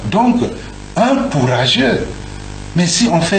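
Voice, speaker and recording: A man at a fairly slow pace with lively intonation, plus audible room echo and noticeable background noise. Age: 60s. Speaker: political figure interviewed. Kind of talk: radio interview testimony. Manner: halting, repeats words.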